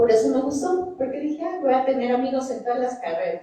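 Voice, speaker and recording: Lively intonation carries a plain, everyday voice. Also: woman. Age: 60s. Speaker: scientist. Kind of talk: panel talk. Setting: auditorium with audience.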